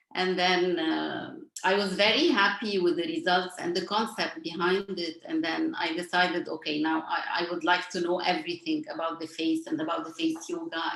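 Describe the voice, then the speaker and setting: With noticeable background noise behind her, a woman talks at a moderate pace with hardly any pauses. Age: 40s. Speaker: face yoga teacher. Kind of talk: casual chat.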